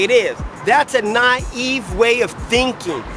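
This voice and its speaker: Against music in the background, the voice has an animated tone, ordinary pitch variation and an American accent. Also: man. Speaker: political vlogger. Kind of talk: political rant to camera.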